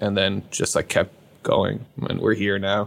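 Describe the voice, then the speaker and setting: A man speaks with an Irish accent on a very clean recording with a silent background. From Ireland. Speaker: YouTube science creator, engineer. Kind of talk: casual interview chat.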